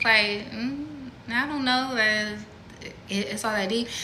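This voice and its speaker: A woman speaks at a fairly high pitch with ordinary pitch variation. Room echo is audible. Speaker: spiritual content creator. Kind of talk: casual monologue. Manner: soft-spoken; halting.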